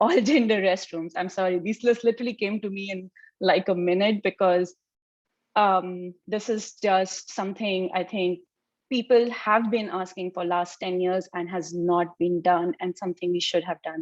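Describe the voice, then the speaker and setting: The recording is dry and close with no echo and a quiet background, carrying a woman's medium-pitched voice. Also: fairly even intonation, moderate pace. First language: not English. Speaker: early career physicist panelist. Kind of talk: panel discussion.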